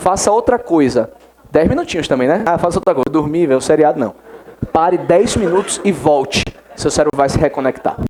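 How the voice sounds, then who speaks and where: Noticeable background noise sits behind a man speaking at a fairly quick pace and a fairly high pitch. His loudness stays very even while his intonation is lively. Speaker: law exam-prep teacher. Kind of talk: classroom lecture. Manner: fast.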